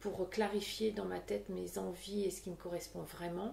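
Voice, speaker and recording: A woman speaks at a fairly slow pace. The room echo is audible. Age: 40s. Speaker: podcaster. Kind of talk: casual chat. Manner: hesitant, many fillers.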